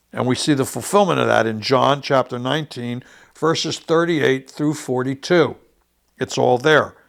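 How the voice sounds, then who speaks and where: The speech unfolds at a medium tempo, its pitch varying normally. It is an unremarkable speaking voice. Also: man. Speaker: bible teacher. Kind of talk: sermon.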